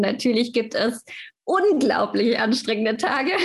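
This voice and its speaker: This is a woman whose voice sits at a fairly high pitch. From Stuttgart, southwest Germany. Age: 20s. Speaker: fitness manager at a holiday club company. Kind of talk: podcast interview.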